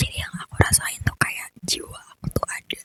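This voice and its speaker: A woman whispers at a moderate pace. The sound is dry and close with no echo. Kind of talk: personal horror story. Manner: whispered.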